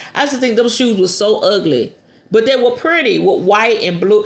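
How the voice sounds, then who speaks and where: Speaking in an animated tone, a woman with an American accent comes through over noticeable background noise. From US South. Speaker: spiritualist podcast host. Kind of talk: casual podcast talk on magic.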